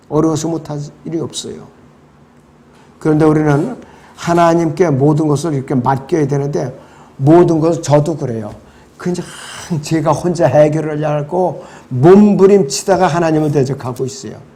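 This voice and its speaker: Amid audible room echo, a man with a fairly high pitch talks at a moderate pace, with ordinary pitch variation and long, frequent pauses. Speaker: pastor. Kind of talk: bible study lecture.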